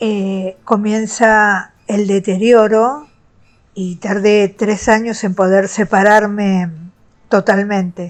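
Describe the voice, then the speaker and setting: A woman speaks at a very slow pace. Her intonation stays monotone and flat. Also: medium pitch for a woman. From Argentina. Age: 60s. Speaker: retired teacher sharing abuse experience. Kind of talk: personal testimony. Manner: some hesitation fillers.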